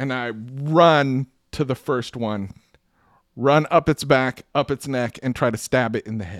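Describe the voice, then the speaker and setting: An ordinary speaking voice from a man at medium pitch, ordinary pitch variation and a fairly slow pace, with a dry, close sound with no echo on a very clean recording with a silent background. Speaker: podcast co-host and player. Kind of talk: tabletop role-playing game session. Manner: playful.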